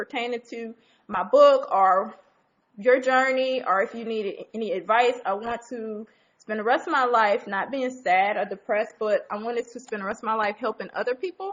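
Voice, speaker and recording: A woman with a normal speaking voice talks at a moderate pace, her pitch fairly high with ordinary variation. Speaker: author and livestreamer. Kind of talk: casual livestream chat. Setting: live stream on a phone app.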